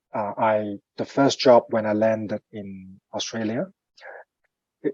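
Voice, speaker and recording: A man's medium-pitched voice, with a dry, close sound and no echo. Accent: Cantonese. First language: Cantonese. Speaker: finance professional, coaching client. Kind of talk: interview. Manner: halting, many fillers.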